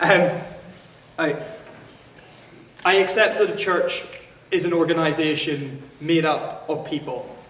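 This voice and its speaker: A man with a Northern Irish accent and a high pitch speaks with fairly even intonation, with noticeable background noise and audible room echo around him. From Northern Ireland. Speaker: student debater. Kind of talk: formal debate. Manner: halting, with frequent fillers and restarts.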